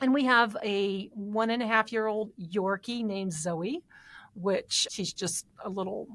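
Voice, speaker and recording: Speaking with an Indiana accent, a woman uses a fairly high pitch and ordinary pitch variation at a fairly slow pace. The recording is very clean and the background silent. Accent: Indiana (Hoosier). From Indiana, Fort Wayne area. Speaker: financial advisor, podcast co-host. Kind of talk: casual podcast conversation.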